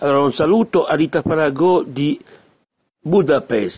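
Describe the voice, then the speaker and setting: A man speaks with lively intonation in a dry, close recording that has no echo. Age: 50s. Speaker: radio host. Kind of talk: radio monologue. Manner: halting.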